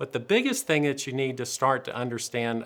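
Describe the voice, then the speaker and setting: A man's medium-pitched voice with a Southern US accent and ordinary pitch variation. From US South. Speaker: dentist presenter. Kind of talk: lecture. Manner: dry humor delivery.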